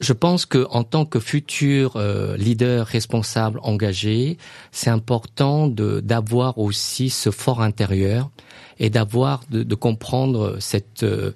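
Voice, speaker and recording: A man at medium pitch and a very slow pace, with ordinary pitch variation and a quiet background. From Laos, raised in France from age 8. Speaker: business school director. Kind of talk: interview. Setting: studio. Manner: halting, many hesitations.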